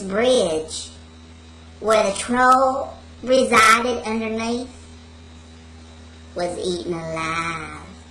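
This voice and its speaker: A put-on character voice that sounds female moves at a very slow pace against clear background noise. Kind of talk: comic spooky bedtime story. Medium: solo performance. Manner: rambling, digressive, giggling.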